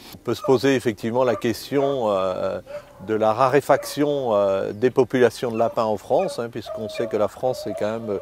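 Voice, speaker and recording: Over noticeable background noise, a man talks at a fairly slow pace with a medium pitch and ordinary pitch variation. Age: 60s. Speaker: rabbit hunter, hunting club vice-president. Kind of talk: interview in a hunting documentary. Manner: hesitant, many fillers and repetitions.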